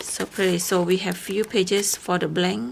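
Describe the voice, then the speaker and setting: A medium-pitched woman with a non-native accent against noticeable background noise. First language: not English. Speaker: crafting YouTuber. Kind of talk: unboxing video. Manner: halting.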